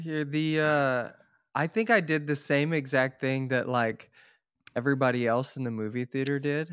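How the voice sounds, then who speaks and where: A plain, everyday voice from a man with an American accent, fairly high pitch and ordinary pitch variation, at a moderate pace on a very clean recording with a silent background. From Oklahoma, Tulsa. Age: 30s. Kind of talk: casual interview.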